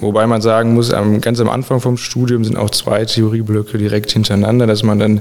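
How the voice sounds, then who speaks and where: A man's monotone, flat delivery at a moderate pace, with noticeable background noise. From Sauerland, western Germany. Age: 20s. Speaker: dual-study student in public administration. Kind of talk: podcast interview.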